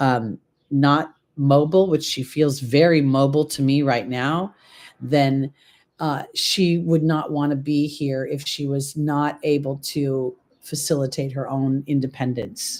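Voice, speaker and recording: With an American accent, a woman speaks in a very deep, low pitch at a fairly slow pace with fairly even intonation, on a very clean recording with a silent background. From California. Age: 60s. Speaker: tarot reader. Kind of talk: live reading. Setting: livestream. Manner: casual, halting.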